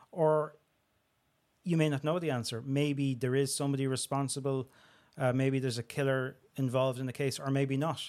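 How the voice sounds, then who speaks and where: With a Dublin accent, a man talks in a monotone, flat intonation at a fairly quick pace with long, frequent pauses, in a very clean recording with a silent background. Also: medium pitch for a man. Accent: Dublin Irish. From Dublin, Tallaght. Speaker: crime and security journalist. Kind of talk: interview conversation.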